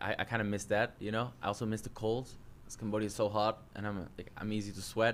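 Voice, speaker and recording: Talking very fast in a monotone, flat intonation, a man with a Dutch accent has a fairly low pitch. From Netherlands. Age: 30s. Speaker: jiu-jitsu coach. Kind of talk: casual chat.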